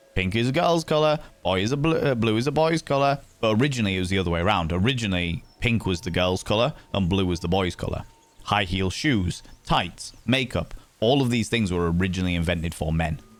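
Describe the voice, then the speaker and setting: Speaking very fast with lively intonation, a man uses a fairly low pitch. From northern England, Hull. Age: 30s. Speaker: streamer. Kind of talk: casual chat. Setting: live stream.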